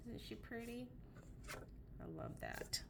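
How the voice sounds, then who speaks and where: Audible room echo around a woman's fairly slow delivery. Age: 50s. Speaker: paper craft seller showing products. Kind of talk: product show-and-tell. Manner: casual with frequent fillers. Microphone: camera mic, sound problems.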